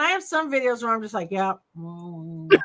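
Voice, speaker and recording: Using a raised, projected voice, a woman speaks at a moderate pace. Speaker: YouTuber. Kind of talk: casual chat. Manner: loud.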